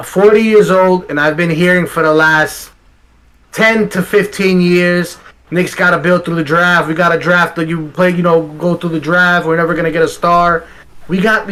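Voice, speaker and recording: A man speaks with a high pitch and fairly even intonation. Noticeable background noise runs underneath. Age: 40s. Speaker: sports talk co-host. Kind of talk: casual sports talk.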